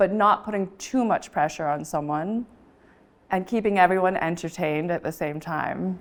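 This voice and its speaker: Recorded very cleanly against a silent background, a woman with an American accent speaks at medium pitch with ordinary pitch variation. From Taiwanese American. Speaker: auctioneer. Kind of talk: interview answer.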